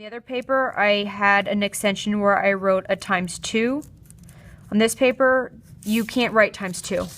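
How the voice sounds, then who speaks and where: This woman's loudness swings widely while her intonation stays fairly even. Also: medium pitch for a woman. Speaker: art teacher. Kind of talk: tutorial. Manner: fast.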